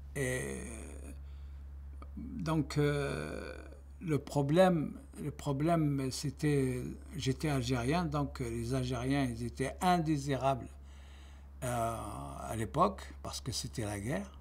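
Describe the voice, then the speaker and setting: Very slow and somewhat breathy, the voice swings very widely in pitch, with long, frequent pauses and audible room echo. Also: man, very deep, low pitch for a man. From Algeria. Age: 70s. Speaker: retiree giving testimony. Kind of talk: testimony. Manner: halting.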